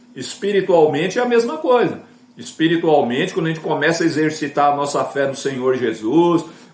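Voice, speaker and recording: A man's fairly high voice comes through with audible room echo and noticeable background noise. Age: 60s. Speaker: evangelical YouTuber. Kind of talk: casual evangelistic talk to camera. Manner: conversational, filler-heavy.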